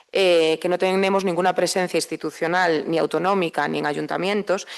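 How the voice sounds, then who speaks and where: Over a quiet background, a woman speaks with a fairly low pitch and monotone, flat intonation. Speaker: president of a regional anti-poverty network. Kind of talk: conference panel talk. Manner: fast; hesitant, many fillers.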